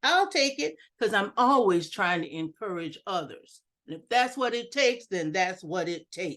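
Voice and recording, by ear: A woman speaks with lively intonation. Her tone is fairly bright.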